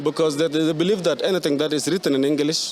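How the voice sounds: A man's fairly high voice at a fast pace, with fairly even intonation.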